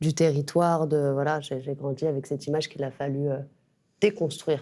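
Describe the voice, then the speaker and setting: A woman's very deep, low, dark and mellow voice at a fairly quick pace, with fairly even intonation and big swings in loudness. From Clichy-sous-Bois, Seine-Saint-Denis, France. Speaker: writer. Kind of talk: interview. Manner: hesitant, many fillers.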